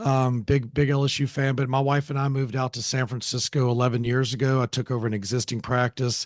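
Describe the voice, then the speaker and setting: Against a quiet background, a man with an American accent and medium pitch talks at a fairly quick pace with fairly even intonation. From Louisiana, Alexandria. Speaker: plastic surgeon. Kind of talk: podcast interview.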